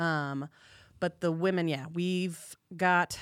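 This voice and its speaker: A woman speaks with an American accent and fairly even intonation. The recording is very clean, with a silent background. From California, Bay Area. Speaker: rugby player and mother. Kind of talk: casual chat.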